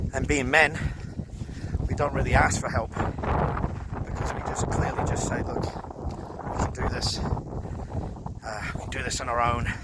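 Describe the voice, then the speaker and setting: A man speaks at a very slow pace with audible room echo and noticeable background noise. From Scotland, Paisley. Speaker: podcast host. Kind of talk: casual vlog monologue while hiking. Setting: outdoors, mountain hike.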